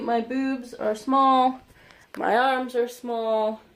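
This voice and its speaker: Her pitch high, a woman speaks very slowly in a flat monotone. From United States. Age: 20s. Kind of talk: casual talk to camera. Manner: hesitant, many filler words.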